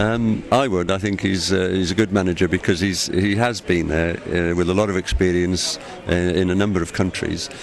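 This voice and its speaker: Speaking in a Cardiff accent, a man with a very deep, low pitch keeps a moderate pace, very even loudness and fairly even intonation over noticeable background noise. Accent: Welsh (Cardiff). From Wales, Cardiff. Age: 60s. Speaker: football fan. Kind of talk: interview. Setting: airport.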